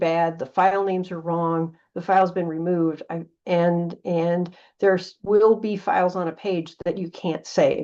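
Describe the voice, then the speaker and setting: A woman with a plain, everyday voice, medium in pitch, with fairly even intonation over a quiet background. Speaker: data preservation volunteer presenter. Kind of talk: presentation.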